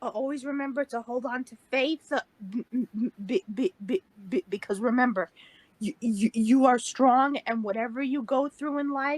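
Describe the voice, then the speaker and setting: A woman talks at a moderate pace with ordinary pitch variation. Her high-pitched voice has a dry, close sound with no echo. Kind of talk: casual interview chat. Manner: halting with many repetitions.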